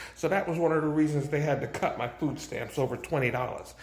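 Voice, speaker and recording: A man's speech carries audible room echo along with clearly present background noise. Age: 60s. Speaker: vlogger. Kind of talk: casual monologue to camera. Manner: halting, repeats words.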